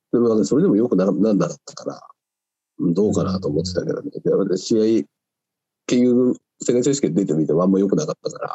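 Lively intonation at a very fast pace. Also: man, fairly low pitch for a man. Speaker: weightlifter. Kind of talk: casual chat.

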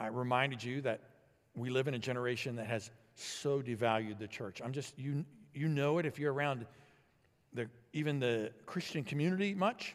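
With an American accent, a man speaks at a moderate pace and medium pitch, using ordinary pitch variation and long, frequent pauses. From Illinois, US Midwest. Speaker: pastor. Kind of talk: sermon. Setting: church.

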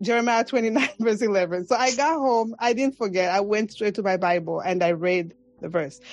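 With a Zambian accent and a fairly high pitch, a woman speaks at a moderate pace with lively intonation while music plays in the background. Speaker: podcaster and bank manager. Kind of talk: casual interview. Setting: video call.

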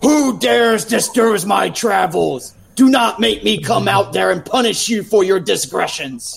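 Putting on a character voice at a high pitch, a man talks at a moderate pace with hardly any pauses. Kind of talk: grand, archaic. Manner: menacing.

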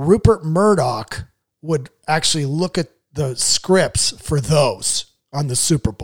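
In a dry, close sound with no echo, a man with a US Midwestern accent speaks very slowly in a fairly high, somewhat breathy voice with lively intonation. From Iowa, US Midwest. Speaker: comedian and writer. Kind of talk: casual interview chat.

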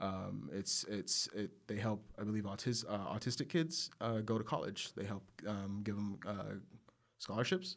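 This is an ordinary speaking voice, a man's, at a fairly low pitch. He talks at a fairly slow pace with ordinary pitch variation. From Texas, San Angelo (West Texas). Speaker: photographer. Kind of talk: casual chat. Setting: studio.

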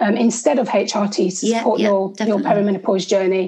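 Dark, mellow tone in a woman's voice, somewhat breathy. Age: 40s. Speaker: nutritional therapist. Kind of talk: interview.

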